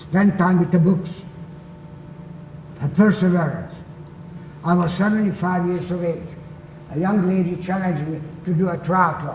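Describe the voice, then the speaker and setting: A man with a Hungarian accent and a high pitch speaks at a moderate pace in a flat monotone, leaving long, frequent pauses. Noticeable background noise and audible room echo fill the recording. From Hungary, Budapest. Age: 80s+. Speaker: Holocaust survivor. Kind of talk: talk to students.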